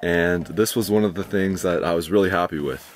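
Faint music plays in the background while a man talks at a moderate pace, the sound dry with no echo. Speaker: gear reviewer. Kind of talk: product review walkthrough. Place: tent. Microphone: phone near.

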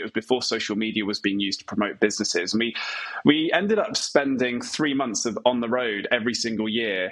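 A man at a very fast pace, with ordinary pitch variation. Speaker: remote podcast guest, speaking coach. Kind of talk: interview answer. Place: home room. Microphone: earbuds.

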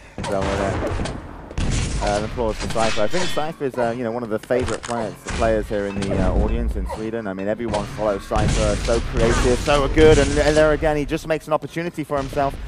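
Music plays in the background as a man speaks very fast in an excited tone with lively intonation. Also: medium pitch for a man. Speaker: esports commentator. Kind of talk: live esports match commentary. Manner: excited, fast-paced.

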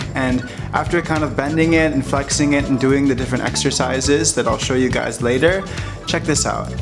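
Clear music sits behind a man who talks at a fairly quick pace with ordinary pitch variation. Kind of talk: casual vlog chat. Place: home room. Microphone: phone near.

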